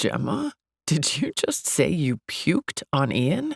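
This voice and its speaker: Gravelly and fairly slow, this is a put-on character voice. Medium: read story. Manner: relaxed, warm.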